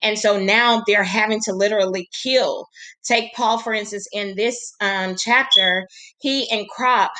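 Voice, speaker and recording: Speaking at a fairly slow pace, a woman with an unremarkable speaking voice talks at a fairly high pitch with ordinary pitch variation. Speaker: teacher. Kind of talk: recorded lesson presentation for colleagues.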